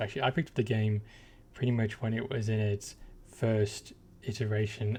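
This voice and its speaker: Speaking with an English accent at a fairly quick pace, a man has a fairly low pitch and a dark, mellow tone that is somewhat breathy. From England. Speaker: gaming YouTuber. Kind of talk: casual game commentary.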